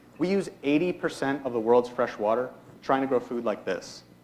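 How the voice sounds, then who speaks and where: A man's normal speaking voice in an American accent, fairly high in pitch, with lively intonation and a fairly quick pace. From US Northeast (Hudson Valley, New York). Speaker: student entrepreneur. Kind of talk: pitch presentation. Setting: stage with audience. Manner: rehearsed, formal.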